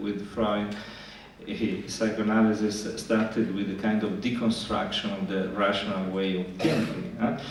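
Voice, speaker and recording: A man with a fairly low voice talks at moderate speed amid noticeable background noise and audible room echo. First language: Italian. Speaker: psychoanalyst. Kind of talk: lecture. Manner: halting, many fillers and repetitions.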